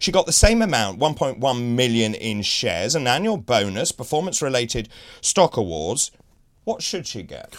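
A man with a British accent at a medium pitch and moderate pace, with very wide pitch swings and big swings in loudness, on a very clean recording with a silent background. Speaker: TV breakfast show host. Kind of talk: live TV news discussion, hosting interview. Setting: studio. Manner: formal, measured, broadcaster delivery.

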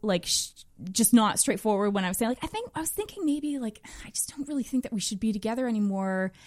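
A woman with an Ontario accent speaks at a fairly high pitch with ordinary pitch variation. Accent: Canadian (Ontario). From northern Ontario, Canada (rural). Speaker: podcast guest, mother. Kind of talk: casual interview chat. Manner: unpredictably loud at times.

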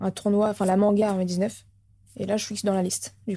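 A dark, mellow tone at a very fast pace, in monotone, flat intonation. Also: woman. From France, Orléans. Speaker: professional footballer. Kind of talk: interview. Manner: casual, hesitant.

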